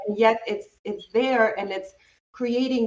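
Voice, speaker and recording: A woman speaks with a non-native accent in a fairly high pitch. Her pace is moderate. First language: not English. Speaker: self-discovery coach. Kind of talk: interview conversation.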